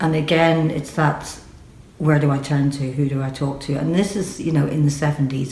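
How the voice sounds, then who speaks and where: A woman with a Northern Irish accent, very deep and low in pitch, at a moderate pace. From Northern Ireland. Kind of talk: personal testimony to camera.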